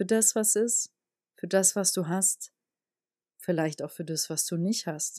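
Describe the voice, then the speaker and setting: Against a silent background in a very clean recording, a woman with a fairly low pitch and a dark, mellow tone talks calmly at a moderate pace, the sound dry and close with no echo. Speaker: podcast host, spiritual energy coach. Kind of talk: solo podcast monologue. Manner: calm, measured.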